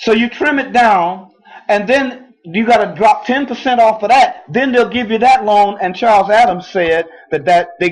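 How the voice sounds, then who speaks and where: A man at a fairly slow pace, with lively intonation. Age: 60s. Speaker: talk show co-host. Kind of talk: casual chat.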